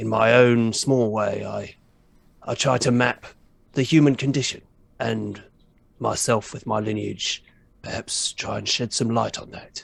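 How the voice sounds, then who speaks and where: Putting on a character voice, a man speaks at a moderate pace, with long, frequent pauses. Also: medium pitch for a man. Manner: grandiose, pompous.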